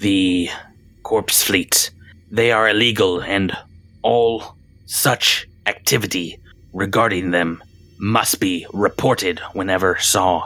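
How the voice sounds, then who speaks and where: A man uses a put-on character voice, fairly low in pitch, at a fairly slow pace with long, frequent pauses. His loudness stays very even and his intonation fairly even. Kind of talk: bureaucratic formality. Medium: actual play. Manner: formal, stiff, archaic phrasing.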